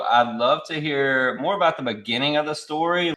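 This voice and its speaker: A man with a Louisiana accent speaks at a fairly high pitch. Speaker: podcast host. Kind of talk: interview. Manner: casual.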